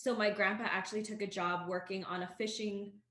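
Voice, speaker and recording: A woman with a Canadian accent speaks at a moderate pace and medium pitch. Her intonation is monotone and flat, and audible room echo fills the recording. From Canada. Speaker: podcast co-host. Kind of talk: casual chat.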